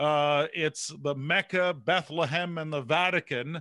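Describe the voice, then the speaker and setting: Against a quiet background, a man with a Canadian accent speaks at a fairly high pitch and a fairly slow pace, the sound dry and close with no echo. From Canada. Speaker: speaker and author, former broadcaster. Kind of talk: interview. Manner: animated.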